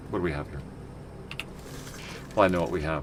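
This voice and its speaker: A man speaks over noticeable background noise. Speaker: video game streamer. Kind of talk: gameplay commentary. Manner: casual, rambling.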